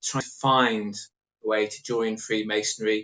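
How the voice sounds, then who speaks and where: A man talks with an English accent. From England, Norwich. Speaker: author. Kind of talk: interview.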